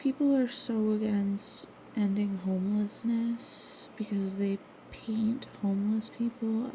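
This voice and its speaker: Over noticeable background noise, a woman with a fairly high pitch talks at a very slow pace, her intonation fairly even and her loudness very even. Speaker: vlogger painting on stream. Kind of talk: casual monologue. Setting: at home.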